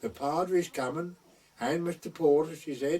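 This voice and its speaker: Noticeable background noise sits under a man speaking at a moderate pace with an East Anglian accent. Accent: rural East Anglian dialect. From North Essex/West Suffolk border. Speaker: traditional storyteller, wartime gunner. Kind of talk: oral history storytelling.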